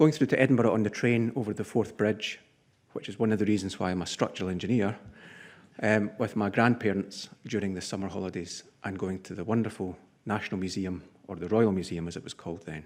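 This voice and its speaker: A man with a Scottish accent, talking very fast with ordinary pitch variation over a quiet background. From Scotland. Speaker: structural engineer, conference sponsor speaker. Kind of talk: conference address. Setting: conference podium with audience.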